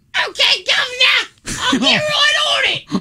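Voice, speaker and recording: Shouting in a put-on character voice at an extremely high pitch, the speaker moves at a fairly slow pace. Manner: dutiful, obliging.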